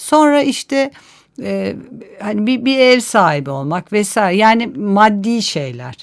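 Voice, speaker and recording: A woman speaks at a very slow pace and a fairly high pitch. Her voice rises and falls in very wide pitch swings. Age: 50s. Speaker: author and urban planner. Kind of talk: interview.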